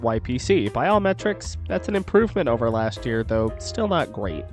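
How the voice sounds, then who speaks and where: Music in the background accompanies a man speaking at a moderate speed. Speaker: sports podcast host. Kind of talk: sports game recap commentary. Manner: low-energy.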